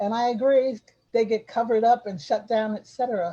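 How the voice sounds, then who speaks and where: A woman speaks at a fairly slow pace, somewhat breathy, with a fairly high pitch. Her tone is dark and mellow, and her pitch varies in an ordinary way. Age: 70s. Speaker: community development elder and arts advocate. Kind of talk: group discussion on video call. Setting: video call. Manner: halting, with frequent repetitions.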